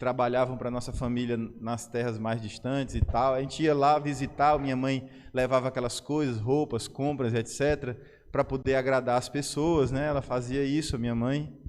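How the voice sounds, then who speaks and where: A man's voice with fairly even intonation at a moderate pace. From Brazil, Ceará. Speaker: pastor. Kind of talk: sermon. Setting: church service.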